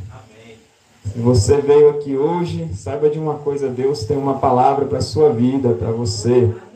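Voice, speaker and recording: A man talks at a moderate pace in a Brazilian accent, with ordinary pitch variation and big swings in loudness. Audible room echo surrounds his voice. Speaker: preacher. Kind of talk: sermon with prophetic exhortation, preaching to a congregation. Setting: church. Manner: animated, fervent, rousing, with shouted hallelujahs and exclamations. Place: church. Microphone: handheld.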